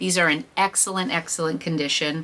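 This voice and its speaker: The woman's voice sits at a fairly low pitch. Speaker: reseller and thrift vlogger. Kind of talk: haul video monologue.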